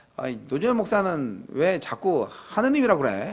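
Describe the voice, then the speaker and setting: A man's pitch swings very widely. Room echo can be heard around his voice. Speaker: pastor. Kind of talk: sermon. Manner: casual, conversational.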